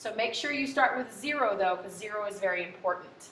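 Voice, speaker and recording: Noticeable background noise and audible room echo surround a woman whose pitch variation is ordinary. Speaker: high school economics teacher. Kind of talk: tutorial.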